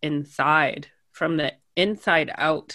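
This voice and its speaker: A woman with a Canadian accent speaks in a very deep, low pitch and a bright, sharp tone on a very clean recording with a silent background. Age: 30s. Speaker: podcaster. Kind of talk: casual interview.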